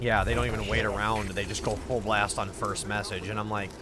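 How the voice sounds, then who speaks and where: A man with an American accent, fairly low pitch, animated tone, fairly slow pace, noticeable background noise, and audible room echo. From US Midwest. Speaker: video game streamer. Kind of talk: casual chat.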